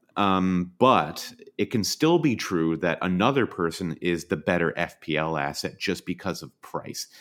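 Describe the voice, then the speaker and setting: Very deep and low, the man's voice moves at a fairly slow pace with ordinary pitch variation. He barely pauses at all. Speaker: fantasy football podcast co-host. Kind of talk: casual chat.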